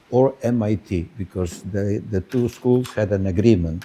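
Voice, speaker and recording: Speaking with a Spanish accent, a man talks at a fairly slow pace in a fairly low pitch with ordinary pitch variation. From Spain. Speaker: business school professor. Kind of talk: conference speech. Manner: halting, many filler words.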